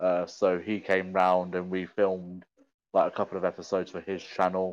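A man with a British accent and a very deep, low pitch, at a moderate pace against a quiet background. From UK. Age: 20s. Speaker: content creator and streamer. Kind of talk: casual chat.

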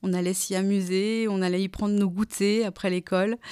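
In a very clean recording with a silent background, a woman speaks at a moderate pace with a medium pitch and monotone, flat intonation. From France, Alsace (Kaysersberg). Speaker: wine cooperative communications manager. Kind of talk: interview. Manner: hesitant, with frequent fillers.

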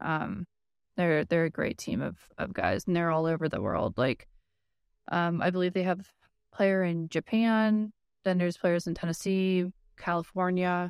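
In a very clean recording with a silent background and a dry, close sound with no echo, a woman with an American accent speaks at a fairly low pitch and a moderate pace, her intonation fairly even and broken by long, frequent pauses. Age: 30s. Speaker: speedsoft airsoft player. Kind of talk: casual chat.

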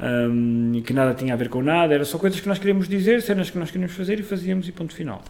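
A man talks at a very fast pace with hardly any pauses, high-pitched and with lively intonation. Noticeable background noise is present. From northern Portugal, Amarante. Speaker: actor and playwright. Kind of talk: casual chat. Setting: kitchen.

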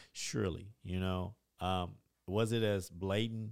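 A man with a Middle Tennessee accent, fairly low pitch and fairly even intonation. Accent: Southern US (Middle Tennessee). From Tennessee, Dickson County. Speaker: community organization leader. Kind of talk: interview. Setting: studio.

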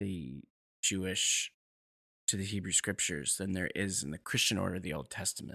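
Bright and sharp in tone with vocal fry, the voice carries an American accent in a dry, close sound with no echo on a very clean recording with a silent background. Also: man. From New York. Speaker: rabbi. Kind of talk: interview.

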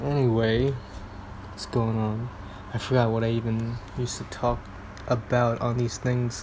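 A man speaks in a flat monotone with long, frequent pauses over noticeable background noise. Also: medium pitch for a man, moderate pace. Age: 30s. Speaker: solo podcaster. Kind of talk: casual solo monologue, rambling. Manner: self-deprecating, halting, filler-heavy.

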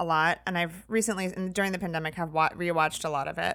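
On a very clean recording with a silent background, a woman talks very fast with an American accent. Her fairly low voice stays flat and monotone. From US Midwest, Indiana. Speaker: photographer and comedy show producer. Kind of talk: casual interview.

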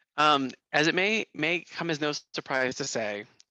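A man talks at a fairly high pitch. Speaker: assistant professor. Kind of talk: casual chat. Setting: video call. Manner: loud; halting.

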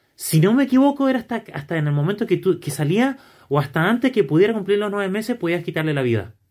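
A man speaks very fast in a high voice with very wide pitch swings, recorded very cleanly against a silent background. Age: 30s. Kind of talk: casual discussion.

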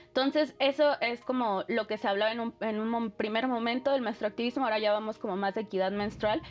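Speaking at a fairly quick pace, a woman uses a normal speaking voice pitched fairly high. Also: ordinary pitch variation. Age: 30s. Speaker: activist. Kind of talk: interview.

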